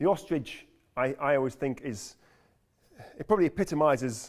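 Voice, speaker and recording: A man with a British accent speaks in a medium-pitched voice. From UK. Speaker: climate scientist. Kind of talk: lecture. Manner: fast; halting, with fillers and repeats.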